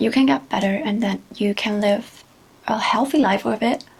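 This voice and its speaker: A woman's fairly high voice at a moderate pace, with ordinary pitch variation and noticeable background noise. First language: not English. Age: 20s. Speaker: vlogger. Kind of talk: personal testimony. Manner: halting.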